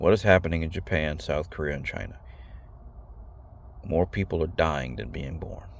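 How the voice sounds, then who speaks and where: Speaking at a fairly quick clip, a man with a very deep, low pitch shows vocal fry and ordinary pitch variation. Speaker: video blogger. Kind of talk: monologue to camera. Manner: fast; halting, repeats words.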